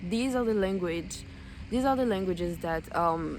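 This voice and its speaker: A woman speaks with audible room echo. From French-speaking West Africa. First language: French (and an African mother tongue). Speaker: language learning vlogger. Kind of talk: casual vlog talk. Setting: outdoors. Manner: hesitant, many fillers.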